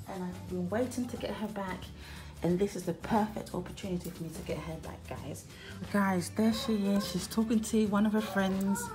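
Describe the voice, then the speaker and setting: Clear music plays in the background. A woman speaks at a moderate pace with fairly even intonation. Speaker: parent vlogger. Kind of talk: casual vlog chat. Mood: playful, conspiratorial. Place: home room. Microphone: phone near.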